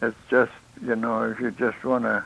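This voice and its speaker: Using vocal fry, a man with an American accent talks fairly quickly at a medium pitch. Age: 80s+. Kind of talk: interview. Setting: live stream interview. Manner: halting.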